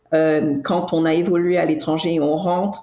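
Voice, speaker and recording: A woman with a fairly low pitch and a dark, mellow tone speaks amid audible room echo. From Cameroon. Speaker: tech entrepreneur. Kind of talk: podcast interview. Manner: halting, many restarts and fillers.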